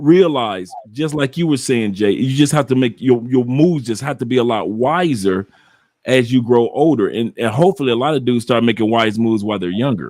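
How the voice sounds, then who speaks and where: This man has a plain, everyday voice at medium pitch. He moves at a fairly quick pace with ordinary pitch variation. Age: 60s. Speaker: travel content creator. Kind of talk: casual chat. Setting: live stream.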